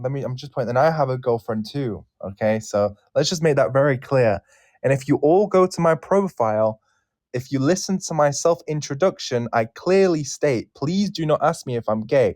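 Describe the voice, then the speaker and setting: A man at a moderate pace, fairly high in pitch with very wide pitch swings, in a dry, close sound with no echo and a quiet background. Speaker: English teacher. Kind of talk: casual chat. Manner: animated.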